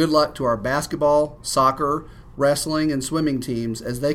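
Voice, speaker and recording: At a moderate pace, a man with an ordinary speaking voice talks in a fairly high pitch with ordinary pitch variation. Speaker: school headmaster. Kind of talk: scripted school announcements read aloud in a brisk, even announcer tone. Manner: formal, businesslike and polished, reading out dates and events; courteous and upbeat, with a warm thank-you tone.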